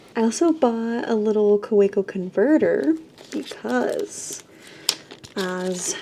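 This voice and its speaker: Noticeable background noise sits under a woman's fairly high voice. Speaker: artist vlogger. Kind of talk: casual vlog narration.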